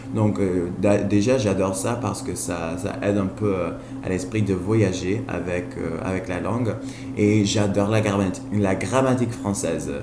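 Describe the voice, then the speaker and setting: Audible room echo and noticeable background noise surround a man's fairly low voice. He speaks at a fairly slow pace with ordinary pitch variation. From Colombia. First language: Spanish (speaking French). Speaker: language learner vlogger. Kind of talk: casual vlog monologue. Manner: halting, frequent hesitations and repetitions; enthusiastic.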